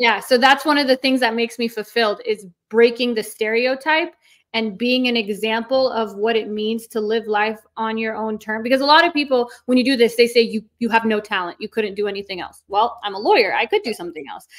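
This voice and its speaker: A woman with an Iranian accent talks at a fairly quick pace, her fairly high pitch showing ordinary variation. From North America, second-generation Iranian. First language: Farsi. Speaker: lawyer and online content creator. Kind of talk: casual interview chat. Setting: livestream interview. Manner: fast, filler-heavy speech.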